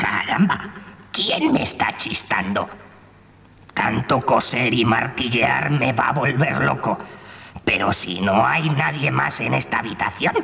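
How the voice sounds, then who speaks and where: A man talks at a fairly slow pace. His pitch sits in the medium range. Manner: worried, fretful.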